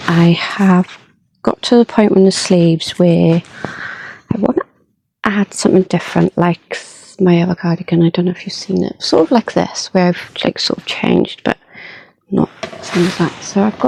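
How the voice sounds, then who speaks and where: Soft-spoken and medium in pitch, a woman talks with long, frequent pauses. The sound is dry and close with no echo. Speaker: crochet vlogger. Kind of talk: casual vlog.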